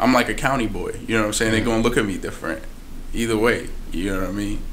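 Very fast speech in an American accent, monotone and flat in intonation, over light background noise. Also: man. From Philadelphia, USA. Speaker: rapper. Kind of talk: interview answer. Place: meeting room. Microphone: studio mic.

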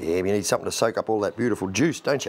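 A man's fairly low voice at a very fast pace, with ordinary pitch variation.

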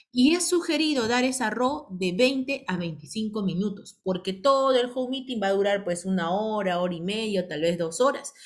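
Animated and somewhat breathy, the voice makes very wide pitch swings and hardly pauses at all. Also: woman, fairly high pitch for a woman, moderate pace. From Peru, provinces outside Lima. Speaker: direct sales team leader. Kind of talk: online business training meeting. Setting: video call.

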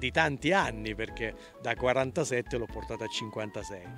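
A man's voice, dry with no echo, over clear background music. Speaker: interviewee. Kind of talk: interview answer. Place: garden. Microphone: handheld.

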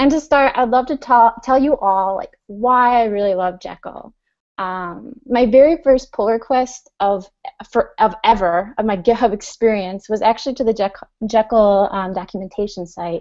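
A woman's speech comes at a moderate pace, its pitch varying in an ordinary way, with little behind it but quiet. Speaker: remote conference speaker. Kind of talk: conference talk. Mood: friendly, smiling. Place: home room. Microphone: earbuds.

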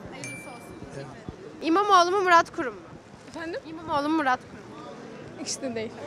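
A woman speaks at a very fast pace and an extremely high pitch with a raised, projected voice, lively intonation and long, frequent pauses. The sound is dry with no echo, over light background noise. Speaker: street interviewer. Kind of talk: street interviews. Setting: outdoors on the street. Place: street. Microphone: handheld.

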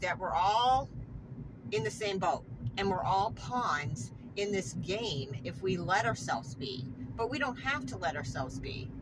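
There is noticeable noise in the background. The speaker is a woman. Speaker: vlogger. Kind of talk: casual vlog chat. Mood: earnest, reflective, somewhat frustrated. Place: car. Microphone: phone near.

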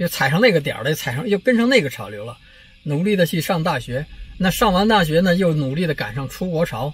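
A man speaks at a fairly quick pace in a high voice, his pitch swinging very widely, with a dry sound and no echo. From China. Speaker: political commentary vlogger. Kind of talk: casual monologue vlog. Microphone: phone near.

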